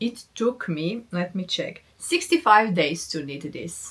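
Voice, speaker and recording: Using lively intonation, a woman with a non-native accent speaks at a very slow pace. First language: not English. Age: 40s. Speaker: knitting podcaster. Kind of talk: casual chat.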